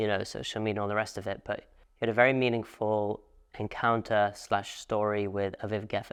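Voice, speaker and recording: Against a quiet background, a man with a plain, everyday voice speaks at a moderate pace, fairly low in pitch and fairly even in intonation. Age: young. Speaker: podcast host. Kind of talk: casual interview chat.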